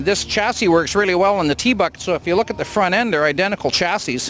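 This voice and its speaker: Talking very fast, a man with a high-pitched voice and a Canadian accent shows ordinary pitch variation. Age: 60s. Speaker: hot rod builder. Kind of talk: casual interview at car show.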